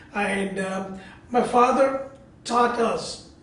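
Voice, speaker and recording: Amid noticeable background noise and audible room echo, a man talks at an extremely high pitch. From India, Bangalore. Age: 60s. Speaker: interfaith speaker and community organizer. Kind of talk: interview.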